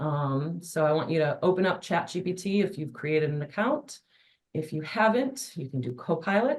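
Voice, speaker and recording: This woman's voice sits fairly low and is somewhat breathy. Her intonation is lively, and her pace is moderate. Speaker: adult education instructor and webinar presenter. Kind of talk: webinar presentation.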